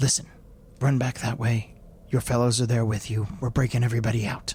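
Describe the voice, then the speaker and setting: A man puts on a raspy character voice, speaking at a fairly quick pace in a monotone, flat way. Clear background noise can be heard. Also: medium pitch for a man. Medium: actual play. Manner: fast, urgent.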